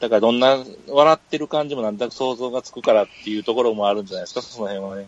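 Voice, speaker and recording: A man speaks very fast, his loudness swinging widely. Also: medium pitch for a man, ordinary pitch variation. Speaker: podcast co-host. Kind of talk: casual chat.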